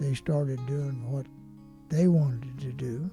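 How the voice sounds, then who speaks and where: A man's fairly high voice at a fairly slow pace, with music in the background. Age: 90s. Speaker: retired high school football coach. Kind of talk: interview answer.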